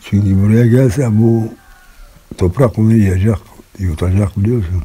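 Noticeable background noise surrounds a man's voice. He speaks at a fairly slow pace with a fairly low pitch. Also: ordinary pitch variation. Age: 70s. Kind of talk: interview answer.

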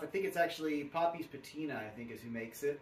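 A man's lively intonation at a moderate pace with audible room echo. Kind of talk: casual tutorial vlog. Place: garage. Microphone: camera far.

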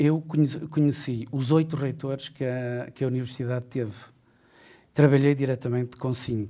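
A man speaks at a moderate pace with a dark, mellow tone. His intonation stays fairly even against a quiet background. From Portugal. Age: 50s. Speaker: university administrator; interviewee. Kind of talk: interview. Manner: halting. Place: studio.

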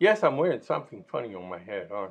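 Moving at a fairly quick pace, a man talks with very wide pitch swings. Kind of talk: sermon. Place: home room. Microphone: webcam.

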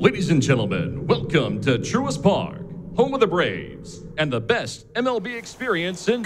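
Over clear background noise, a man performs a robotic put-on character voice, high for a man, with very wide pitch swings at a moderate pace. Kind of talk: formal announcement. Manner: robotic stadium announcer.

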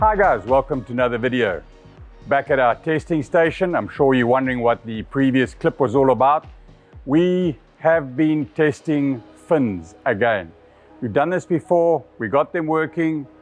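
A man at a moderate pace, with faint music in the background. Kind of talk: product demonstration talk. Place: workshop. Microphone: lapel.

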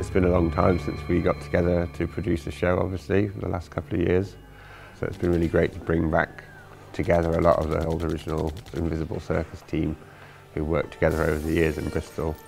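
Over faint background music, a man with a very deep, low pitch speaks at a very fast pace in a monotone, flat intonation. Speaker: ringmaster and creative director of the event. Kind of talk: documentary interview answer. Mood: calm, reflective. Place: hall.

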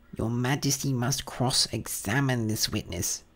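Here a man puts on a character voice that sounds shrill. His pitch is medium and his pace is moderate. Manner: hasty, officious.

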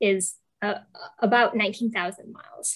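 A woman with an American accent speaks at a fairly high pitch over a quiet background. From Western New York; New York State. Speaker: shorebird biologist; presenter. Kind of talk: online presentation. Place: home room. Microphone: earbuds.

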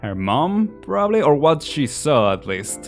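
Music plays behind a man as he talks. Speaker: gaming video creator. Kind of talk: gameplay commentary. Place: home room. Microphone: studio mic.

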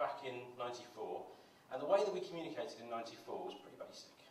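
Light background noise and audible room echo surround a man's voice. He speaks at a moderate pace with ordinary pitch variation. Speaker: conference presenter. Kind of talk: conference talk. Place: stage.

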